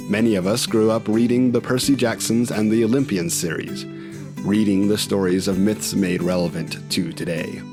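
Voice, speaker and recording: Over music in the background, a man with a fairly low pitch speaks at a moderate pace with lively intonation and hardly any pauses. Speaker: podcast host. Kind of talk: podcast intro.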